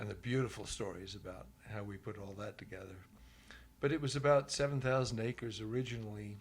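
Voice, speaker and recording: Somewhat breathy, a man rushes along at a very fast pace with big swings in loudness. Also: medium pitch for a man, ordinary pitch variation. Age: 70s. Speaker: ranch owner. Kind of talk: interview.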